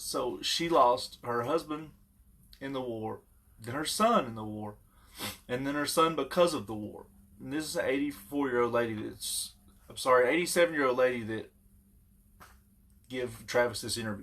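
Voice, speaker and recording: A man speaks at a moderate pace and medium pitch with ordinary pitch variation. His loudness swings widely, and he leaves long, frequent pauses. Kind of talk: casual talk to camera.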